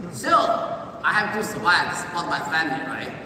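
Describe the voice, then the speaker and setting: A man's raised, projected voice amid noticeable background noise and audible room echo. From China (Xinjiang). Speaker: business speaker sharing success story. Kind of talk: motivational testimony speech.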